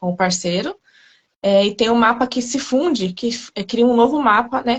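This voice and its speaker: A woman speaks softly with a somewhat breathy voice and ordinary pitch variation. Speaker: astrologer. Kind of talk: informal explanation in live chat. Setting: live video call. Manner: soft-spoken.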